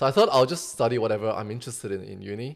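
A man at a very fast pace, medium pitch with ordinary variation, and vocal fry. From Sydney, then China. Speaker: entrepreneur. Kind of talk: casual chat.

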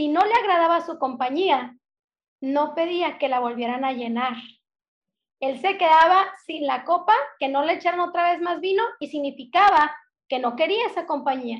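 In a northern Mexican accent, a woman speaks at an extremely high pitch. Her intonation is lively and her pace moderate. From northern Mexico (Sonora, Hermosillo). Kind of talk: casual faith conversation.

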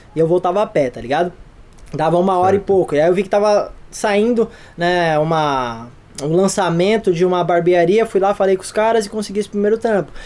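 A man talks at a fairly quick pace, his high pitch moving with ordinary variation. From São Paulo, Brazil. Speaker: photographer and director. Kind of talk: casual chat.

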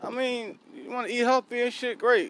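The delivery is animated and runs at a fairly slow pace. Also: man. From South Philadelphia, US. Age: 40s. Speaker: podcast host. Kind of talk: casual monologue.

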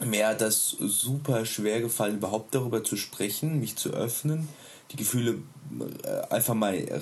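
A man's somewhat breathy voice, medium in pitch, with ordinary pitch variation and a moderate pace. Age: 30s. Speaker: stay-at-home father and hobby musician. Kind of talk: casual interview.

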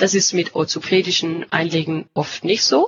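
Her pitch sits at a medium level for a woman. It varies in an ordinary way as she talks. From Denmark. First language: Danish (speaking German). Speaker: company representative. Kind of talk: interview. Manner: halting, searching for words.

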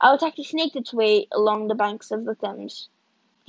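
The background is near silent. Reading aloud in a natural voice fills the clip.

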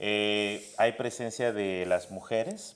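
This man talks with fairly even intonation. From Guatemala City. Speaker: migrant rights worker. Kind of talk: interview.

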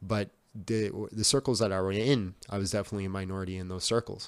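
Delivered at a fairly quick pace, this is a normal speaking voice with a Canadian accent. The recording is very clean, with a silent background. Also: man. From Canada, Yukon (Whitehorse). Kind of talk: casual chat.

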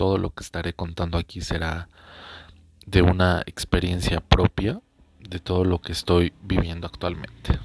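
Recorded with a dry, close sound and no echo, a man with a very deep, low pitch speaks fairly slowly in a monotone, flat intonation. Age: 20s. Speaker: podcaster. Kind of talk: personal storytelling monologue. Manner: hesitant, many fillers.

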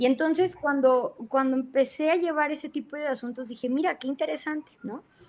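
A woman with a high pitch and fairly even intonation talks at a fairly quick pace with hardly any pauses. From Mexico, Jalpa, Zacatecas; raised partly in Guadalajara. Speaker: lawyer. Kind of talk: interview.

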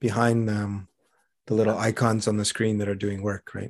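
At a moderate pace, a man speaks in a fairly low pitch. His intonation is monotone and flat. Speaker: podcast host. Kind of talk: interview.

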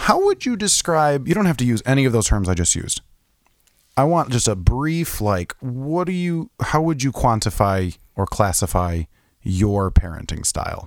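A loud man at medium pitch, animated in tone, with very wide pitch swings, a moderate pace and a very clean recording over a silent background. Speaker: podcast host. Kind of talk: casual chat.

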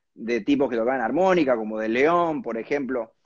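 A man uses a normal speaking voice at a moderate pace, with lively intonation. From Argentina, Córdoba (Villa María). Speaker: singer-songwriter and harmonica player. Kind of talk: interview. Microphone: unstable connection.

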